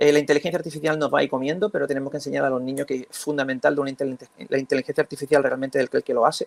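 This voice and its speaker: The voice runs very fast with hardly any pauses and fairly even intonation, dry and close with no echo. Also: man, fairly high pitch for a man. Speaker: school teacher. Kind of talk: round-table talk. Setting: conference panel. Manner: halting.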